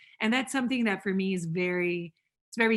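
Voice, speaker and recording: A woman's medium-pitched voice in a Portuguese accent, against a quiet background. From Brazil, São Paulo. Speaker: professor. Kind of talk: interview.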